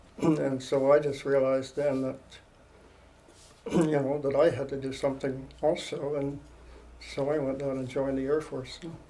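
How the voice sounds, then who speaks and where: With a Canadian accent, the speaker keeps a moderate pace and a monotone, flat intonation, leaving long, frequent pauses. Room echo is audible. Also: man, fairly high pitch for a man. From Ontario, Canada. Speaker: war veteran. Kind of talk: oral history interview. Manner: halting.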